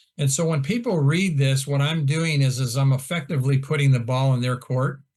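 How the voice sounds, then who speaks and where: A man with an American accent speaks fairly quickly in a fairly high voice. His delivery is somewhat breathy, with fairly even intonation. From Iowa, US Midwest. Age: 60s. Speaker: golf instructor. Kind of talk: casual chat.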